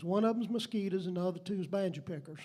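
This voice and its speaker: With a Southern US accent, a man speaks in a high-pitched voice of dark, mellow tone, with audible room echo. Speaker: emcee introducing musicians. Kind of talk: stage introduction. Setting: stage with audience. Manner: animated.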